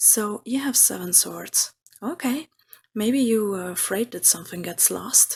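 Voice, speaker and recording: Somewhat breathy and fairly high-pitched, a woman speaks fairly slowly with lively intonation. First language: not English. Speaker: tarot reader. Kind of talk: tarot reading.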